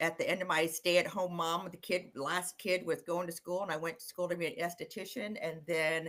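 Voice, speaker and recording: With music in the background, a woman speaks at a fairly low pitch with fairly even intonation. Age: 60s. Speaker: sales rep and esthetician, digital marketer. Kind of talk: casual interview chat. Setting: live-streamed video podcast.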